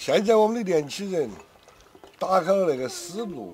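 Noticeable background noise behind a man's high-pitched voice. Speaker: veteran chef. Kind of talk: casual chat.

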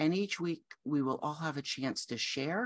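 The pace is moderate and the pitch varies the usual amount. Behind the voice, it is quiet. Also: woman. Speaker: grief coach. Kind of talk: promotional talk to camera. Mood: warm, gentle. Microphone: webcam.

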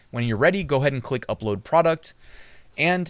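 Over a quiet background, a man's voice comes through dry with no echo. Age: 30s. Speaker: YouTube educator on print on demand; online business educator. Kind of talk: tutorial and product review. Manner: casual, conversational.

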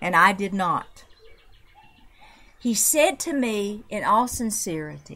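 Speaking at a very slow pace with long, frequent pauses, a woman with a Southern accent uses lively intonation at medium pitch. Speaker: researcher and reconciliation advocate. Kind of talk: interview storytelling.

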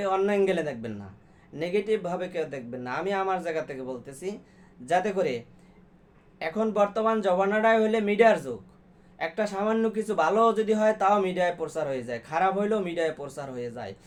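In a high voice, a man speaks with lively intonation. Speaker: YouTube commentator. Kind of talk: monologue commentary.

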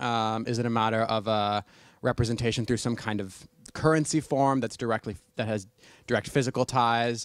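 A man talks at a fairly quick pace. The sound is dry with no echo, over a quiet background. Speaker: audience member. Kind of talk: audience question. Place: classroom. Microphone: handheld.

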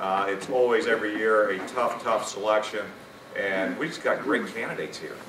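Fairly quick pace and fairly even intonation over noticeable background noise. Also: man. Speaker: master of ceremonies; banquet host or presenter. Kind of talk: ceremony presentation. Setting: banquet with audience. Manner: formal. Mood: warm, appreciative. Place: hall. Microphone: podium.

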